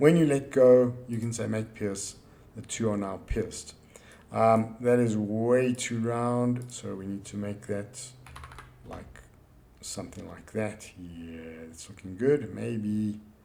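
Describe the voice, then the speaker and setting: Amid audible room echo, a man speaks at a very slow pace with big swings in loudness. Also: medium pitch for a man, ordinary pitch variation. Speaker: engineering drawing teacher. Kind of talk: software tutorial.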